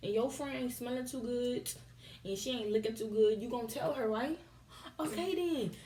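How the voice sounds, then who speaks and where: Background noise is noticeable behind this woman. Her voice is high-pitched with lively intonation. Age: young. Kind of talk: casual talk to camera. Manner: animated, humorous.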